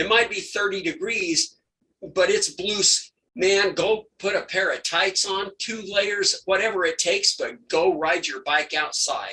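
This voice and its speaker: A man uses a raised, projected voice that is high in pitch, with a bright, sharp tone. He goes at a fairly slow pace with ordinary pitch variation. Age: 60s. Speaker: veteran amateur bike racer. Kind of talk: podcast interview. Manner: animated.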